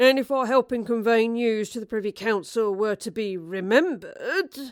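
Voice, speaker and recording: A woman puts on a character voice at a fairly high pitch. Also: moderate pace. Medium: read story. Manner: curt, barking.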